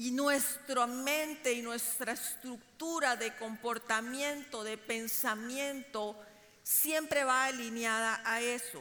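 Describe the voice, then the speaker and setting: The room echo is audible as a woman speaks very slowly. Her pitch is high, and her intonation stays fairly even. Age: 50s. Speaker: preacher. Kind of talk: sermon.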